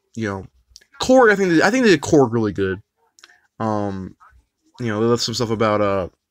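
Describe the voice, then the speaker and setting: A man with an American accent talks at a fairly quick pace in a medium pitch with ordinary pitch variation, broken up by long, frequent pauses. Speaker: YouTuber live streamer. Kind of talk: live stream chat. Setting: live stream. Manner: halting, many repetitions.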